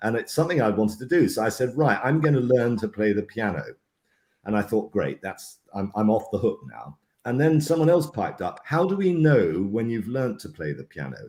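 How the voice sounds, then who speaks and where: A man's medium-pitched voice with vocal fry, very wide pitch swings and a fairly quick pace. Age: 60s. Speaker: leadership program host. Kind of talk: casual chat.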